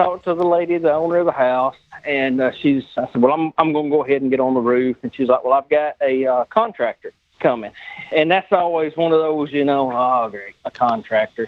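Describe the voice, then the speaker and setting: A man with a strong Southern US accent at a fairly quick pace, his pitch varying in an ordinary way. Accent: deep Southern US. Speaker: body shop owner, former insurance adjuster. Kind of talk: casual storytelling.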